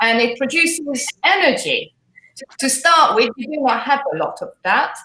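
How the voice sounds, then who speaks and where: Speaking at a fairly slow pace, a woman with a slight British accent uses lively intonation. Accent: slight British accent picked up. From Hungary. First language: Hungarian. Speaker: fitness trainer. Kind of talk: live interview.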